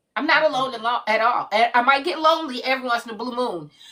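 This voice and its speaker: A raised, projected voice with an animated, bright, sharp tone, lively intonation and a moderate pace. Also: woman. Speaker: live stream host. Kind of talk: casual chat. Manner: loud.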